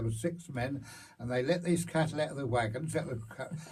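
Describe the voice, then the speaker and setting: A fairly high-pitched man's voice with a Hertfordshire accent, a dark, mellow tone, lively intonation, vocal fry, and audible room echo. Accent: rural Hertfordshire English. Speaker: local elder recalling farm life. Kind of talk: oral history interview. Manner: halting.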